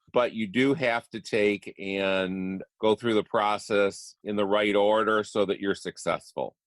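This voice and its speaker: On a very clean recording with a silent background and a dry, close sound with no echo, a man with an ordinary speaking voice talks at a fairly slow pace with hardly any pauses, his fairly low pitch carrying fairly even intonation. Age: 60s. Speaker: real estate investor and coach. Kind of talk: interview.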